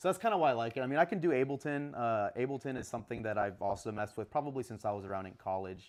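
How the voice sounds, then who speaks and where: Against a quiet background, a man is speaking. His intonation is lively. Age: 20s. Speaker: DJ and music producer. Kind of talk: casual interview chat. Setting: live stream show.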